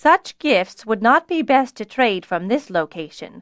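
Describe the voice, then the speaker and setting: In a put-on character voice, a woman speaks fairly slowly at a fairly high pitch with very wide pitch swings. The recording is very clean with a silent background and a dry, close sound with no echo. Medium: read story. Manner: measured, deliberate.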